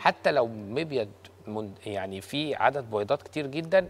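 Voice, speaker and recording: The speaker talks at a moderate pace with lively intonation. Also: man. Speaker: gynecologist; guest. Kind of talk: TV talk show interview. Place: studio. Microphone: lapel.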